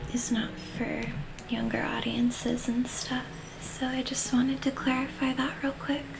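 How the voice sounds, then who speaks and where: A soft-spoken voice moves at a moderate pace, with audible room echo and noticeable background noise. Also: woman. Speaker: streamer. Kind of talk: ASMR gaming livestream.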